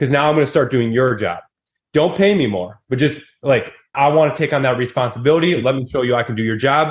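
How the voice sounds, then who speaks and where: In an American accent, the speaker rushes along at a very fast pace in an animated tone with ordinary pitch variation. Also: man. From Wisconsin, US Midwest. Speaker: real estate investor and entrepreneur. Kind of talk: podcast interview.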